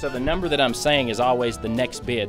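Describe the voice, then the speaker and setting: Very fast speech with music in the background. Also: man. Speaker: auctioneer. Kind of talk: interview answer.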